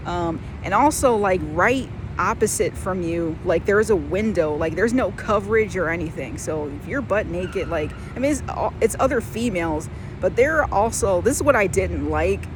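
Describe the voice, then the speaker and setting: A woman keeps a moderate pace as noticeable background noise and audible room echo fill the recording. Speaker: vlogger. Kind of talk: casual storytelling vlog. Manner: loud; casual, filler-heavy.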